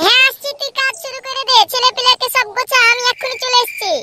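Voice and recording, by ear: A man uses a cartoonish character voice at an extremely high pitch with little pitch movement, bright and sharp in tone. He goes at a fast pace, and the sound is dry and close with no echo.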